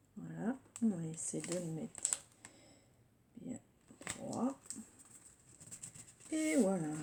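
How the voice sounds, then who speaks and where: Soft-spoken and medium-pitched, a woman speaks at a very slow pace with long, frequent pauses and very wide pitch swings amid noticeable background noise. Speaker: scrapbooking youtuber. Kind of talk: tutorial. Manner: hesitant, with fillers.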